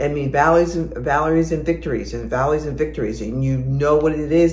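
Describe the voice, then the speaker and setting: A woman speaks over noticeable background noise. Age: 60s. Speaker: fitness and lifestyle vlogger. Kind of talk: casual talk to camera. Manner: encouraging, motivational.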